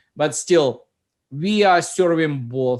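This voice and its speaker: Speaking with a non-native accent, a man lets his pitch vary in an ordinary way. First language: Russian. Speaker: software company founder. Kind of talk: casual chat.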